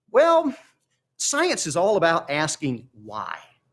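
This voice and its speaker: A man speaks with a Mississippi accent. His pitch swings very widely. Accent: Southern US (Mississippi). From Mississippi, US South. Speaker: meteorologist. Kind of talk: educational talk. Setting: live-streamed science expo.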